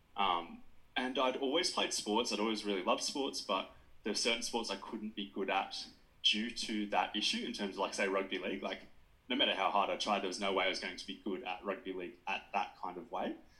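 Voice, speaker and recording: A man with an Australian accent, fairly quick pace, fairly low pitch and a bright, sharp tone. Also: fairly even intonation. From New South Wales south coast, Australia. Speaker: sports dietitian. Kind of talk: podcast interview.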